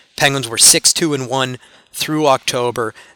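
A man talks with fairly even intonation. The sound is dry and close with no echo, though noticeable background noise is present. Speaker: sports podcast host. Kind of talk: solo sports commentary podcast. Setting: cold arena after a game.

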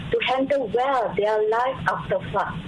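Audible room echo and noticeable background noise surround a woman who speaks at a fairly slow pace with very wide pitch swings. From Malaysia, Kelantan. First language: Malay. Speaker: government psychologist. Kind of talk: radio interview. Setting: phone call. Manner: halting.

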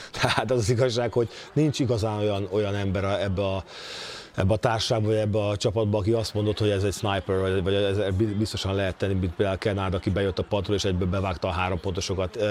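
At a very fast pace, a man talks with very even loudness and fairly even intonation. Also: fairly low pitch for a man. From Hungary. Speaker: former NBA player, basketball pundit. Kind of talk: casual chat.

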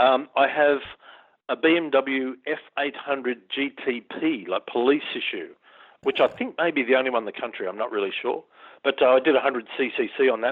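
Speaking with an Australian accent, a man uses fairly high pitch and ordinary pitch variation at a moderate pace. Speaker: long-distance motorcyclist. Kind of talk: interview. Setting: phone call.

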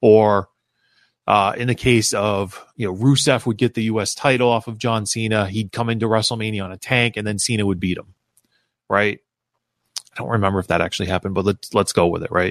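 A man with a plain, everyday voice talks fairly quickly at a fairly low pitch and fairly even intonation, in a dry, close sound with no echo and a quiet background. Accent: American. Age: 40s. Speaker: wrestling podcast host. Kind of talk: solo podcast commentary.

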